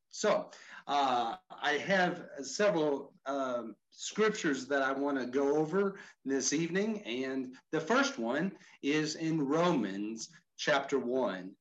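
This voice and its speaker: Using lively intonation, a man with a Texan accent speaks very slowly at a fairly high pitch. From Texas, Houston area. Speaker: mission organization vice president, former pastor. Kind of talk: online training presentation. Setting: video call.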